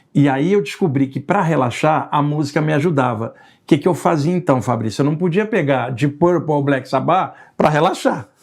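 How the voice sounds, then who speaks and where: A man talks at a moderate pace in a fairly high pitch, with ordinary pitch variation. He has an ordinary speaking voice, and the background is quiet. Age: 60s. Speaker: spiritualist researcher and writer. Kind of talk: casual interview.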